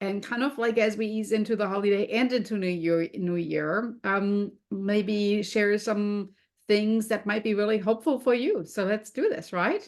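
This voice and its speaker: A woman with a German accent speaks at a moderate pace and medium pitch, keeping her intonation fairly even. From Germany. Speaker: food and health coach. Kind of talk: podcast interview.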